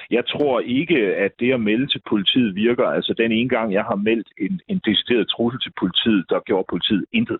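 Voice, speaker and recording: A man talks in an ordinary speaking voice at a medium pitch. His pace is moderate, with ordinary pitch variation. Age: 50s. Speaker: local politician. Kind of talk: political debate. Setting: phone call.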